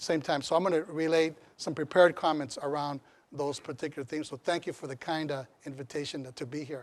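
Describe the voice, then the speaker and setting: With a fairly high pitch, a man talks at a very fast pace. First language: Spanish. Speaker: community college chancellor. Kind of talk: lecture.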